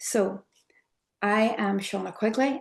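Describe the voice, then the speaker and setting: A woman speaks with an Irish accent. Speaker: trauma therapy trainer, method founder. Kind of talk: online workshop lecture. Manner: soft, clear.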